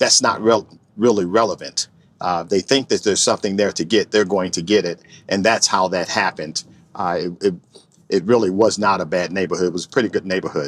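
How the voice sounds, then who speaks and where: In a Chicago accent, a man talks at a fairly low pitch on a very clean recording with a silent background and a dry, close sound with no echo. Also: fairly even intonation, fairly quick pace. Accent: Chicago city. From Chicago, west side inner city. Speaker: retired state trooper. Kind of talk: interview. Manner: halting, many fillers and repeats.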